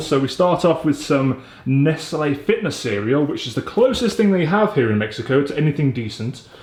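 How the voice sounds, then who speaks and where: Speaking with a British accent, a man sounds upbeat, his intonation lively. His pitch is fairly high and his voice somewhat breathy. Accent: British, drops his t's. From England. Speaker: entrepreneur and vlogger. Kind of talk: casual vlog talk to camera. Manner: chatty, upbeat.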